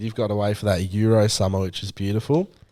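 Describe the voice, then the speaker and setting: A man speaks in a dark, mellow tone with a New Zealand accent. His intonation stays fairly even. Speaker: podcast co-host. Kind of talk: casual chat.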